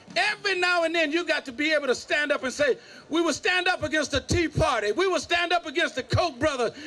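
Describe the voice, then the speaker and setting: A man with an extremely high pitch uses a raised, projected voice in a bright, sharp tone, talking at a fairly quick pace with ordinary pitch variation. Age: 70s. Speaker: pastor and civil rights activist. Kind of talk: rally speech. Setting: outdoor rally with crowd. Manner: loud; animated.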